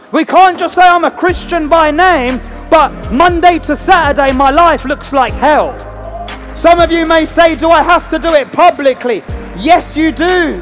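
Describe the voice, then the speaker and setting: Faint music plays behind a man who speaks fairly slowly at an extremely high pitch with fairly even intonation. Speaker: evangelist, tent revival preacher. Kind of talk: live preaching and altar call at a revival meeting. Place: tent.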